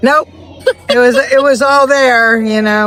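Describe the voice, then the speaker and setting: Speech moves at a moderate pace. Noticeable background noise runs underneath. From California. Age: 60s. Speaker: blues pianist. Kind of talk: casual interview.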